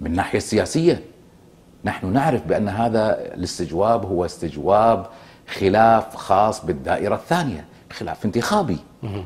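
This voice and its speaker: A somewhat breathy voice with a Kuwaiti accent at a moderate pace. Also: man, fairly low pitch for a man, lively intonation. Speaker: former member of parliament; guest. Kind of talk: political TV interview. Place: studio. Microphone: lapel.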